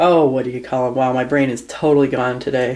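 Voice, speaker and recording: Someone speaks with an American accent. Noticeable background noise runs under the voice. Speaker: reptile keeper. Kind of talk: tutorial. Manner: hesitant, many fillers.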